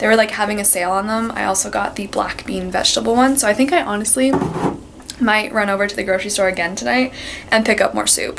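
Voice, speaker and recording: A woman talks very fast at a medium pitch with ordinary pitch variation. Background noise is noticeable. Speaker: book vlogger and university student. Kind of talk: casual vlog. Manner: animated.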